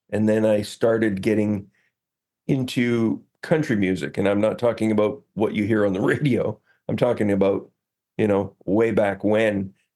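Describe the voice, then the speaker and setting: In a Canadian accent, a man speaks with a dark, mellow tone, a fairly low pitch and ordinary pitch variation. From Northern Ontario. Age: 60s. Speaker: singer-songwriter and photographer. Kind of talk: podcast interview. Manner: halting, many fillers.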